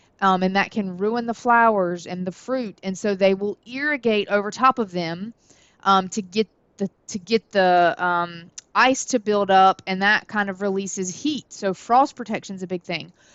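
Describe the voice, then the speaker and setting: A woman with a Southern US accent speaks at a moderate pace and medium pitch, her pitch varying in an ordinary way. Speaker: college horticulture instructor. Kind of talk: lecture. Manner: casual, many filler words.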